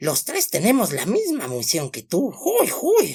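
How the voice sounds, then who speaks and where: A raspy, put-on character voice at a fairly slow pace. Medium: read story. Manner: excitable.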